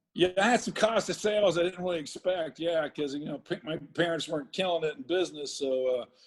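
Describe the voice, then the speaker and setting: Amid noticeable background noise, a man talks at a high pitch with ordinary pitch variation and hardly any pauses. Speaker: entrepreneur. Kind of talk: casual interview storytelling. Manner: animated.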